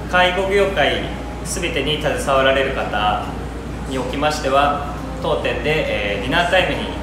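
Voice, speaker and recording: Loud background noise and audible room echo fill the recording. A man speaks through them at a moderate pace. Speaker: restaurant owner. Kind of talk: promotional announcement. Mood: polite, formal, slightly nervous. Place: cafe. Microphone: camera far.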